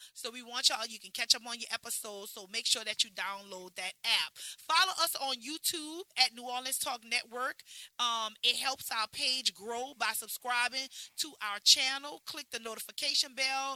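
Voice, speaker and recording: A woman with a high pitch and a bright, sharp tone speaks animatedly at a moderate pace, with ordinary pitch variation, big swings in loudness and a dry, close sound with no echo. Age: 40s. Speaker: podcast host and beauty bar owner. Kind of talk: casual chat.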